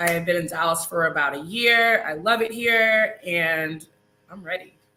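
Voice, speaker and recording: A woman with fairly low pitch and lively intonation has an unremarkable speaking voice. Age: 30s. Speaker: reality TV contestant and registered nurse. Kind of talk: casual interview.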